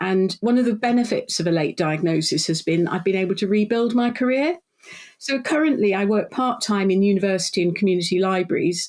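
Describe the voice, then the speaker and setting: In a British accent, a woman talks at a fairly quick pace and a medium pitch. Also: lively intonation, very even loudness. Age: 60s. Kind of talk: podcast interview.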